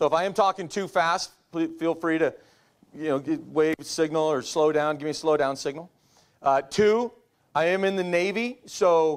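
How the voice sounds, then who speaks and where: A man with an ordinary speaking voice, fairly high in pitch with ordinary pitch variation, on a very clean recording with a silent background. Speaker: navy officer. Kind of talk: lecture.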